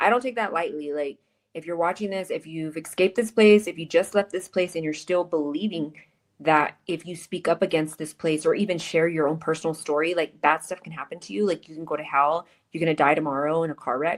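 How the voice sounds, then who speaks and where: A woman with an unremarkable speaking voice talks at a fairly quick pace and fairly low pitch, with ordinary pitch variation. Her loudness swings widely on a very clean recording with a silent background. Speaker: podcast host. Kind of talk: interview podcast.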